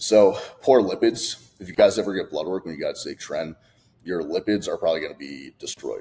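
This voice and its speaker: The man's speech moves along fairly quickly. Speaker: fitness coach. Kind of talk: casual talking-head video. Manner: fast; animated.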